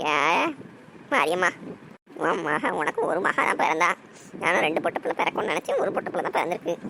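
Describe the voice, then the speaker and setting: A cartoonish character voice at a middle pitch moves at a moderate pace over clear background noise. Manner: sly, quick to deny.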